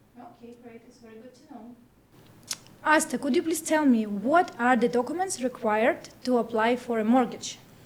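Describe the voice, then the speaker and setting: A woman speaks in a high voice, her loudness rising and falling sharply. Background noise is noticeable. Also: ordinary pitch variation, moderate pace. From Ukraine. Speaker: real estate agent, channel host. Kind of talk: interview.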